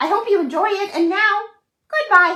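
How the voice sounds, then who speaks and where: This is a put-on character voice, squeaky and extremely high. It moves at a moderate pace. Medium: read story.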